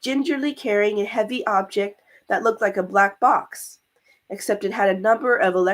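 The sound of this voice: Over a quiet background, an unforced reading voice and ordinary pitch variation.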